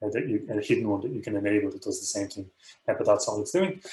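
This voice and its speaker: A man is speaking. He has an Irish accent. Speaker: professor. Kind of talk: tutorial. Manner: fast.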